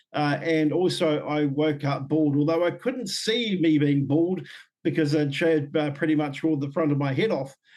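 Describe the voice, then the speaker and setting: This man speaks with a New Zealand accent and ordinary pitch variation. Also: moderate pace. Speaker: Māori leader and former public servant. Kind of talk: podcast interview testimony. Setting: video call. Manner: occasionally slurred words after stroke.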